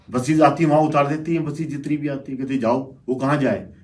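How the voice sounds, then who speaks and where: Audible room echo around a man's fairly high voice, at a moderate pace and with fairly even intonation. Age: 60s. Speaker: local businessman. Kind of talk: panel discussion.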